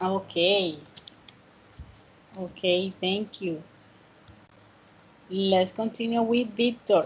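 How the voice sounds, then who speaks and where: Over noticeable background noise, a woman speaks very slowly with fairly even intonation and long, frequent pauses. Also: medium pitch for a woman. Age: 30s. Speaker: student teacher of English. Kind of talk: online class.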